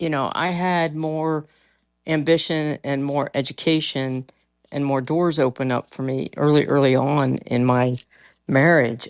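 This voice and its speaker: In a very clean recording with a silent background, a woman speaks with a very deep, low pitch and fairly even intonation. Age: 60s. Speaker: caller. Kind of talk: casual debate chat.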